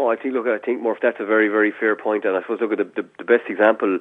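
With an Irish accent, a man speaks at a very fast pace. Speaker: hurling analyst. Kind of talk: casual chat.

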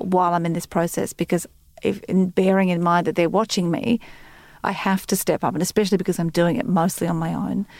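Fairly even intonation at a fairly quick pace from a woman with a fairly low pitch, on a very clean recording with a silent background. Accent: Australian. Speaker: news presenter and columnist. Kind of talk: casual chat.

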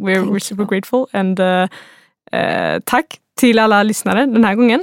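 Recorded very cleanly against a silent background, a woman with a Swedish accent speaks in fairly even intonation, the sound dry and close with no echo. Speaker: podcast host. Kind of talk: interview; scripted intro. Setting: studio.

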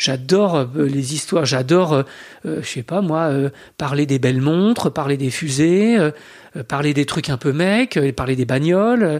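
A man speaks at a very slow pace in a fairly high pitch. His pitch variation is ordinary. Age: 40s. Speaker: historian and author. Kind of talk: interview. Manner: hesitant, many fillers.

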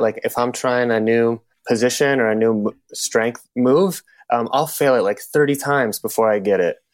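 Using an unremarkable speaking voice, a man talks at a moderate pace in a medium pitch with fairly even intonation. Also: big swings in loudness. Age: 20s. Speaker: fitness coach. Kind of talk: casual chat.

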